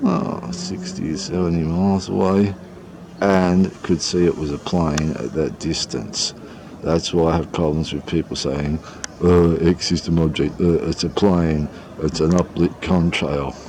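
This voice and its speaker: Speaking at a fairly slow pace, a man with a slight Australian accent uses a very deep, low pitch and fairly even intonation over noticeable background noise. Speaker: sky-watching videographer. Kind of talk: casual live narration while filming. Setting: outdoors on a balcony. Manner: rambling, hesitant with fillers.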